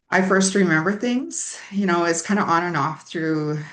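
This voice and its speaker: A woman talks with ordinary pitch variation, and audible room echo surrounds her voice. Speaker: person in recovery sharing story. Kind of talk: testimony. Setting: online summit. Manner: halting, with many fillers.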